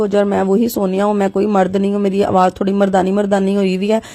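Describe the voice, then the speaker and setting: Speaking at a fairly quick pace, a woman uses a medium-pitched voice with a dark, mellow tone. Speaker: home cooking vlogger. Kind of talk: cooking tutorial vlog. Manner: casual, chatty.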